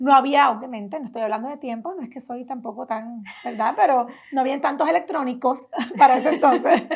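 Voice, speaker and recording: Speaking at a fairly quick pace, a woman uses a high pitch with ordinary pitch variation and big swings in loudness. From Puerto Rico, Las Piedras.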